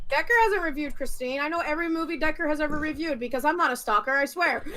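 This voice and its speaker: A woman's high, raised, projected voice at a very fast pace, with ordinary pitch variation. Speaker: YouTuber, livestream guest. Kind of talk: casual chat. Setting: livestream. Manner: animated.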